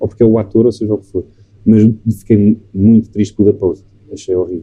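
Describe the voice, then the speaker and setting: A man's very fast, somewhat breathy voice with a European Portuguese accent, fairly low in pitch, dark and mellow in tone, with monotone, flat intonation. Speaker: film director. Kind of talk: casual chat. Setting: recorded in a bar.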